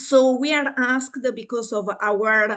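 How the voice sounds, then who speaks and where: Over a quiet background, a woman speaks very slowly with an Italian accent and ordinary pitch variation. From Italy. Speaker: university lecturer in psychology. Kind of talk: online lecture. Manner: halting, many fillers.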